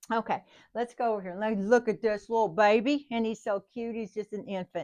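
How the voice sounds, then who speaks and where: A woman with an unremarkable speaking voice talks at fairly high pitch and a fairly quick pace, with fairly even intonation. The sound is dry and close with no echo, against a quiet background. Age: 60s. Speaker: nursing instructor. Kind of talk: lecture. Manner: casual, conversational.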